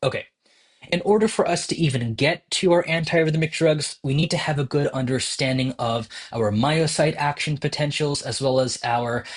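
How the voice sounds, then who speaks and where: A man talks at a moderate pace, his voice somewhat breathy and fairly high, with ordinary pitch variation. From New Jersey. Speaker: medical educator. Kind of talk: tutorial. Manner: casual, with filler words.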